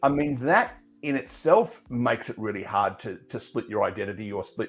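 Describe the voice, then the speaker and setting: A man in an Australian accent speaks at a medium pitch and moderate pace with lively intonation. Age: 60s. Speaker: radio presenter and media consultant. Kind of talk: casual chat.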